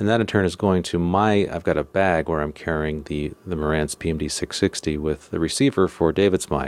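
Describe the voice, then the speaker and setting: There's a man here with a very deep, low pitch and ordinary pitch variation. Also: moderate pace. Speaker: podcast host and audio producer. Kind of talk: solo podcast talk about recording gear. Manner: casual, disfluent, informal explanation.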